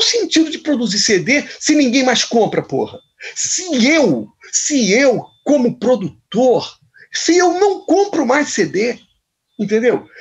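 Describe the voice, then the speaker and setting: A man speaks at an extremely high pitch. His voice makes very wide pitch swings. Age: 60s. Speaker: musician. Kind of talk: interview. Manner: halting.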